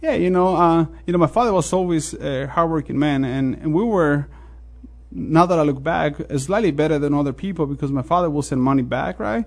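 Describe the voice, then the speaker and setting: A man with a Mexican accent speaks at a fairly quick pace in a fairly high pitch. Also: ordinary pitch variation. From Mexico. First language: Spanish. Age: 40s. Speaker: restaurant owner. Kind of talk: interview. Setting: studio.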